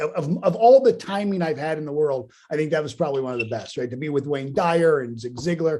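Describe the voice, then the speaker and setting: Speaking very fast with hardly any pauses, a man with a Pittsburgh accent uses lively intonation at a fairly high pitch. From Pittsburgh, Pennsylvania. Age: 50s. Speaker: motivational speaker. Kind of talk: interview.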